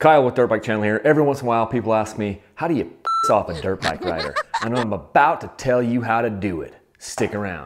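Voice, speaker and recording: Loud background noise fills the clip as a man rushes along at a very fast pace, his pitch varying by ordinary amounts. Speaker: dirt bike channel host. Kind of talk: humorous tutorial-style talk to camera. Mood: playful, sarcastic. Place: garage.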